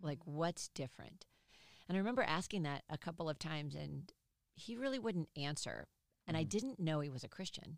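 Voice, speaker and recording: The sound is dry and close with no echo as a woman speaks at a fairly quick pace. Her pitch is very deep and low, with vocal fry and lively intonation. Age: 50s. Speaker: professor. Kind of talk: interview. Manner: animated.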